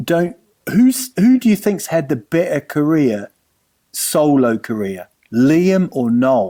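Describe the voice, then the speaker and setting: With a New Zealand accent, a man speaks very slowly in a fairly high pitch with a dark, mellow tone and very wide pitch swings. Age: 40s. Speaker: comedian. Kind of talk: casual chat.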